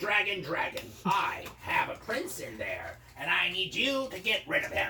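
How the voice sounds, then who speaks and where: A man's put-on character voice, high-pitched, at a moderate pace, over clear background noise. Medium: solo performance.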